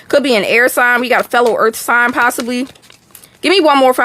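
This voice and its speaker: Woman with an American accent, high-pitched and fairly quick, amid noticeable background noise. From Texas. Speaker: tarot reader. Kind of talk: live stream tarot reading. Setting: live stream. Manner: casual, chatty.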